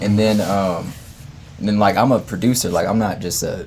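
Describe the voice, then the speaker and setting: A man's fairly even intonation amid noticeable background noise and audible room echo. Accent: American. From Denver, US. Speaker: music producer. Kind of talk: casual interview. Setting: studio.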